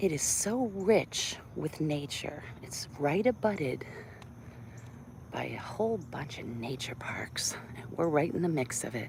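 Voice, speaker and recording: A relaxed woman's voice with a very deep, low pitch, very wide pitch swings and big swings in loudness, fairly slow in pace, over noticeable background noise. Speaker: vlogger, doctor. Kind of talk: casual live-stream chat. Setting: outdoors on a walk.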